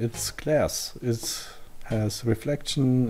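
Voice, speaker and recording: Speaking at a very slow pace, a man talks in a non-native accent. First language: not English. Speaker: tutorial creator. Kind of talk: software tutorial. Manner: halting, many fillers.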